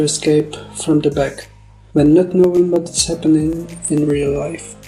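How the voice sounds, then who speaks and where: With music in the background, a man with a Czech accent speaks at a moderate pace and fairly high pitch, in a monotone, flat intonation. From Czech Republic. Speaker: animator. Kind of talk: scripted narration. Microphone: poor audio quality.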